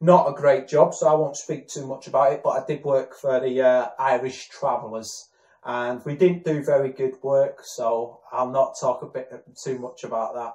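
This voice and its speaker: This man speaks with a northern English accent. His loudness swings widely. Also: moderate pace. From northern England, Warrington. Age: 30s. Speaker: aspiring actor. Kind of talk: self-introduction video. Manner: halting, many fillers.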